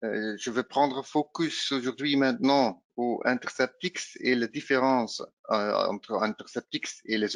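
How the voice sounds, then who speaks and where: A man with a Dutch accent speaks at a fairly slow pace, the sound dry and close with no echo. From Flanders, Belgium. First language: Dutch (speaking French). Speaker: pre-sales engineer. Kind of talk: product presentation. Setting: virtual roadshow webinar. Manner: hesitant, frequent filler sounds.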